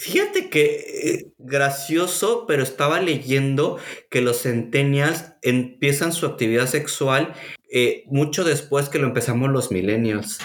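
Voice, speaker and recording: In a Mexican accent, a man speaks at a very slow pace and fairly high pitch, with ordinary pitch variation and very even loudness. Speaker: podcast host. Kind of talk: casual chat.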